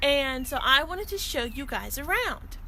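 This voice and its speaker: A woman speaks in an animated tone with an American accent. Audible room echo surrounds her voice. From western Pennsylvania, Pittsburgh. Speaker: teacher. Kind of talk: virtual class for young children. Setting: outdoors on back porch.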